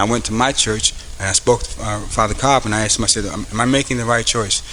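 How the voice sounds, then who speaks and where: Here a man talks very fast at a medium pitch. Noticeable background noise is present. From US Northeast (Paterson, New Jersey). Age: 50s. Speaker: police captain. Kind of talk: motivational speech. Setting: school event with audience.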